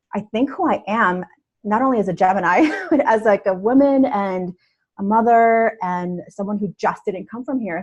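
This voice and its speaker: A woman, somewhat breathy, speaks at a moderate pace with ordinary pitch variation. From New York City (born in Russia, moved to US at about six). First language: Russian. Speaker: self-care coach. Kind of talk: podcast interview conversation.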